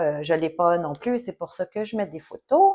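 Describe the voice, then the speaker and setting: Speaking at a fairly slow pace in a Quebec accent, a woman uses a medium pitch with ordinary pitch variation. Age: 40s. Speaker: knitting podcaster. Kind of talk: casual vlog monologue. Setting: home recording, sun in her eyes. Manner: hesitant, many fillers.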